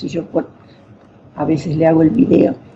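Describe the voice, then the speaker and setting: A woman speaks over noticeable background noise. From northern Argentina (Formosa). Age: 80s+. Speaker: poet. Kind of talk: radio interview. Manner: halting.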